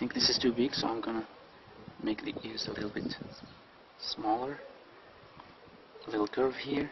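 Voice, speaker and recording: A man talks at a moderate pace with long, frequent pauses. Background noise is noticeable. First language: non-native English speaker. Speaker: drawing instructor. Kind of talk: drawing tutorial narration.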